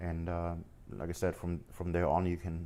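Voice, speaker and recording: A man speaks with a slight German accent in a very deep, low voice. His tone is dark and mellow. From Germany, Munich. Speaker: forex trader streamer. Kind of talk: live stream chat. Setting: live stream. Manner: halting, stumbles over words.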